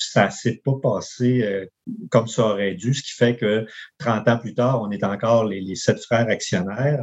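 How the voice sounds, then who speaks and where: With an ordinary speaking voice, a man talks fairly slowly at a medium pitch with fairly even intonation. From Quebec, Charlevoix (Baie-Saint-Paul). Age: 50s. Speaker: campground owner and engineer. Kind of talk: interview conversation.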